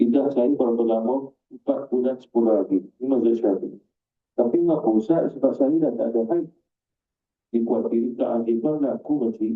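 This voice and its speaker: At a fairly quick pace, the talking carries ordinary pitch variation. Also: man, medium pitch for a man. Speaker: Islamic religious teacher. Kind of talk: Quran exegesis lecture.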